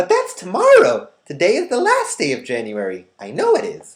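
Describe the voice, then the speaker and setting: A man does a put-on character voice that is squeaky and extremely high-pitched. His tone is warm and gentle, and his pace is moderate. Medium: read story. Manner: warm, gentle.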